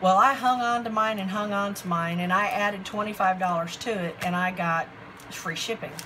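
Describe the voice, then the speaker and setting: Over noticeable background noise, a woman talks at a fairly slow pace with a medium pitch and fairly even intonation. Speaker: craft hobby vlogger. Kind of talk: product haul show-and-tell. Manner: halting, self-described stuttering; casual, chatty.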